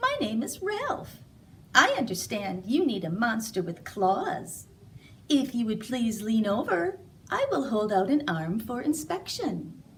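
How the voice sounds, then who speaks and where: A put-on character voice, female-sounding and squeaky, is pitched fairly high and moves at a fairly slow pace. Clear background noise can be heard. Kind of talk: polite, formal.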